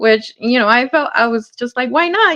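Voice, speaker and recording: This woman talks in a high pitch with a Spanish accent. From Hawthorne, California, US. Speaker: artist, community outreach volunteer. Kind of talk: interview.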